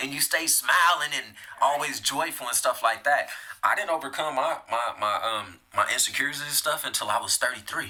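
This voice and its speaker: With noticeable background noise behind it, the speech runs at a fairly quick pace and shows ordinary pitch variation. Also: man, fairly high pitch for a man. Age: 30s. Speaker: podcast host. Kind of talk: casual interview chat.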